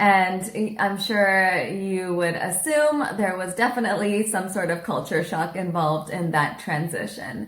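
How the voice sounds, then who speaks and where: Recorded with audible room echo, a woman with an American accent speaks at a fairly slow pace in a somewhat breathy voice with ordinary pitch variation. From Kerala, India (ashram with Westerners). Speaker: guest interviewee. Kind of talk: interview.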